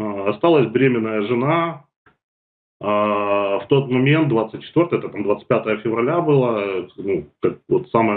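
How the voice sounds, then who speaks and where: A man's fairly slow, lively-toned speech over a quiet background. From Ukraine, Kherson; Ukraine. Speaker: war refugee; guest. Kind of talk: testimony. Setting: video call. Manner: halting. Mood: sombre, emotional recounting. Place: home room. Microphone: video call.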